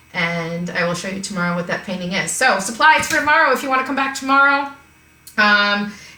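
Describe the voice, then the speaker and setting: There is noticeable background noise and audible room echo. A woman speaks with ordinary pitch variation. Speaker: art teacher. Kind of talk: live-streamed online art class.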